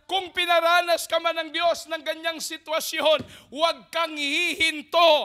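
A raised, projected voice at a fairly slow pace over a quiet background. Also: man. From Philippines. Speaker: preacher. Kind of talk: sermon. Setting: church. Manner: call-and-response, prompting audience to say amen. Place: church. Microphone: handheld.

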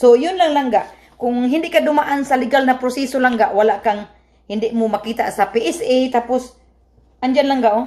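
In a Visayan accent, a woman speaks at a moderate pace in a high pitch with a dark, mellow tone. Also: ordinary pitch variation. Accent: Visayan accent in Tagalog. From Visayas, Philippines. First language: Cebuano (speaking Tagalog). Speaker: vlogger. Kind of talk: casual vlog explanation. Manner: halting.

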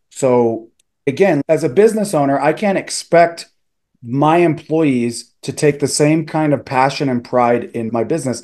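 With a dark, mellow tone, a man talks at a moderate pace, his medium pitch showing ordinary variation.

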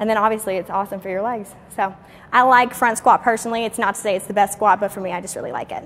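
Speaking at a very fast pace, a woman uses ordinary pitch variation. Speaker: fitness trainer. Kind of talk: casual fitness tutorial and Q&A. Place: gym.

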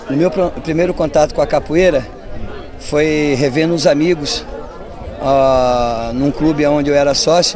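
Crowd noise behind a man's fairly high voice, fairly slow and fairly even in intonation, with very even loudness, long, frequent pauses and a dry sound with no echo. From São Paulo state, Brazil. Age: 50s. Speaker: capoeira master. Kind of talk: interview. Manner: halting. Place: street. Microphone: handheld.

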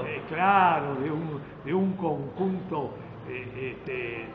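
The speaker is a man with a fairly high pitch and ordinary pitch variation. Noticeable background noise runs behind him. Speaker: veteran TV and radio announcer. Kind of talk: interview answer. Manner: lively, joking. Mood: friendly, smiling, anecdotal. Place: hall. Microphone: phone near.

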